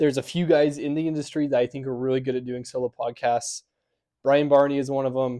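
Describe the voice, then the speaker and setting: With an American accent, a man talks very fast in a fairly high voice, keeping his intonation fairly even over a quiet background. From Utah, US. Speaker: podcast host. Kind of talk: solo podcast monologue. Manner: soft-spoken; hesitant, many filler ums.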